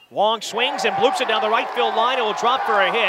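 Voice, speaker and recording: Noticeable background noise sits behind the voice. A man talks in an animated, excited tone. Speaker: baseball play-by-play announcer. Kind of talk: live baseball play-by-play commentary. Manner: rapid-fire, clipped and punchy, building to excited exclamations on big plays; animated, with a rising call on home runs and close plays.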